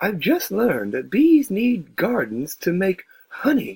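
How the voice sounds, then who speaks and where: The pace is fairly slow. The speaker uses a put-on character voice. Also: man, high pitch for a man. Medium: read story. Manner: gentle, slow, wondering.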